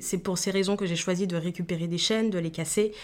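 In a very clean recording with a silent background, a woman talks at a fairly low pitch with fairly even intonation. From Guadeloupe. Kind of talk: interview. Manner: hesitant, many fillers.

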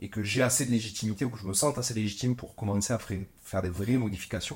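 A somewhat breathy man with a fairly low pitch talks at a very fast pace, using ordinary pitch variation. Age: 40s. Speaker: winemaker. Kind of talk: interview. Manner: halting.

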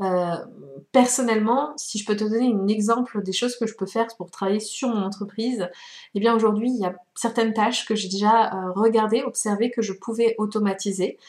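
Fairly even intonation and a fairly quick pace from a woman. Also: fairly high pitch for a woman. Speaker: podcast host, wellbeing coach. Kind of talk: solo podcast monologue. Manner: hesitant with frequent fillers.

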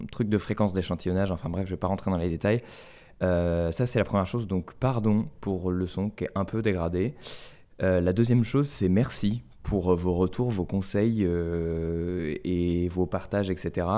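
Over a very clean recording with a silent background, a man speaks at a fairly slow pace in a very deep, low voice with a dark, mellow tone and ordinary pitch variation. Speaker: podcast host. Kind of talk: casual chat.

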